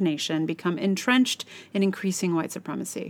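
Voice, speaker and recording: A woman with an American accent talks at a fairly quick pace in a normal speaking voice with lively intonation, on a very clean recording with a silent background. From United States. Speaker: blogger and podcaster. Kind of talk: reading aloud own blog post.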